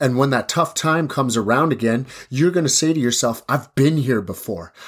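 With a Canadian Prairies accent, a man at a medium pitch sounds animated in a very clean recording with a silent background. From Saskatchewan reserve, Canada. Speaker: podcast host, kickboxer. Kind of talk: motivational monologue.

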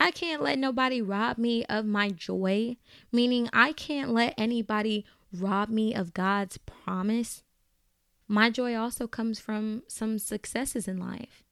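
The pace is fairly slow, and the pitch varies in an ordinary way. Heard here is an unremarkable speaking voice on a very clean recording with a silent background. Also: woman. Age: 20s. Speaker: faith-based advice podcaster. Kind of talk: advice podcast monologue.

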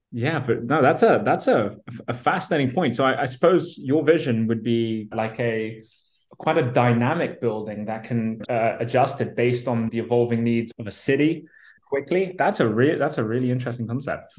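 With ordinary pitch movement, the man has an ordinary speaking voice at a medium pitch. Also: moderate pace. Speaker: podcast host. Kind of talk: interview conversation.

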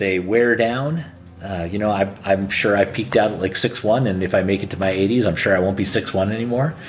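A man with an American accent speaks at a fairly low pitch with ordinary pitch variation. Noticeable background noise runs under his voice. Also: fairly quick pace. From Los Angeles, California. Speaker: historian and part-time church worker. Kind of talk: casual interview.

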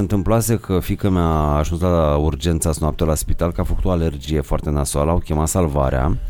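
The man's intonation is lively. He keeps a moderate pace. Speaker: podcast host. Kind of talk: casual chat.

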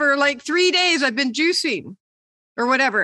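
A woman with an American accent projects a raised, high-pitched voice, bright and sharp, with lively intonation. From Michigan. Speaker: podcast co-host. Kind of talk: casual chat.

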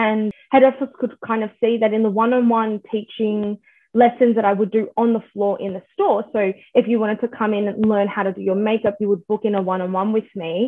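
Fairly quick and fairly high-pitched, a woman delivers her words in a monotone, flat intonation. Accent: Australian. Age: 20s. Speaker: makeup artist. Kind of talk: casual chat.

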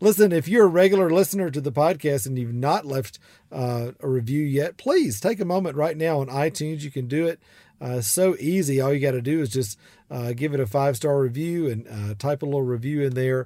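A man with a strong Southern US accent talks at a fairly quick pace with lively intonation. His voice is fairly high in pitch, with a dark, mellow tone. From US South, South Georgia. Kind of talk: solo podcast advice monologue. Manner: warm, conversational with frequent laughs.

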